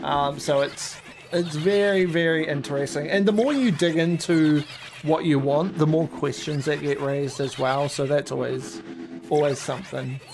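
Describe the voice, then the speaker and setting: Over noticeable background noise, someone with a New Zealand accent speaks in a relaxed tone at a moderate pace. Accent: Kiwi. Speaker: shiny hunting gaming streamer. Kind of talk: casual live stream chat. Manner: relaxed, chatty.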